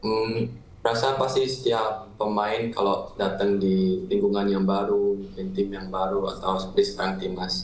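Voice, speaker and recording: Monotone, flat intonation from a man, plus audible room echo. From Netherlands. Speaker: footballer and YouTuber. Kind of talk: casual interview. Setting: video call. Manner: casual. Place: home room. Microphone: video call.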